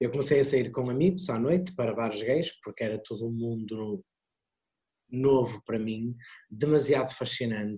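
A man talks at a moderate pace and medium pitch, with ordinary pitch variation. His tone is dark and mellow, and somewhat breathy. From Portugal, Porto. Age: 30s. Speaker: drag performer and makeup artist. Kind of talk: online talk. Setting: video call. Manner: halting.

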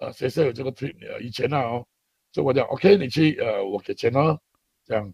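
Somewhat breathy, a man at medium pitch speaks at a fairly quick pace with lively intonation and long, frequent pauses, in a dry, close sound with no echo. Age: 50s. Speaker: charity worker. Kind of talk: interview. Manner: halting, with many fillers and repetitions.

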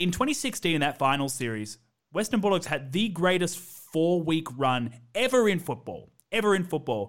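A man with an Australian accent speaks at a high pitch in an animated tone. His pitch swings very widely. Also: moderate pace. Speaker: podcast host. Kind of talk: casual chat. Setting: remote call with guest.

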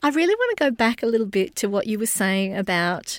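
A woman talks in an Australian accent. The sound is dry and close with no echo, in a very clean recording with a silent background. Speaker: interviewer. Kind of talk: interview.

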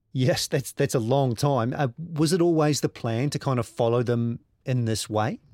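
The recording is very clean, with a silent background. A man speaks in a dark, mellow tone at very even loudness. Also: medium pitch for a man, ordinary pitch variation, moderate pace, dry, close sound with no echo. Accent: New Zealand. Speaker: podcast host. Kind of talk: interview.

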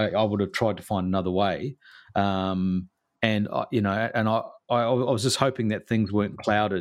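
A speaker with a New Zealand accent talks at a moderate pace, with fairly even intonation and very even loudness. The recording is very clean, with a silent background. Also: man, fairly low pitch for a man. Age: 50s. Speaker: podcast co-host. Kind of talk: casual chat.

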